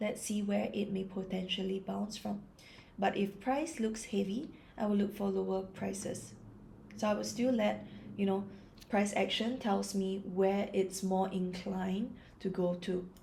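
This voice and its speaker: Calm and fairly slow, a woman speaks with vocal fry and fairly even intonation. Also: medium pitch for a woman. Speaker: trader. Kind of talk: ASMR trading chart analysis.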